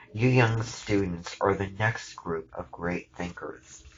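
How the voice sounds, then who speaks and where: A man puts on a booming character voice, pitched fairly low. He speaks at a fairly slow pace with fairly even intonation. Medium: read story.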